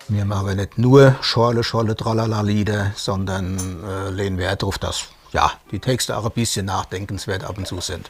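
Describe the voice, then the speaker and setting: Against noticeable background noise, a man with a fairly low voice talks at a moderate pace with fairly even intonation. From Palatinate (Hinterpfalz), Germany. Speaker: band lyricist. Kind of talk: TV interview.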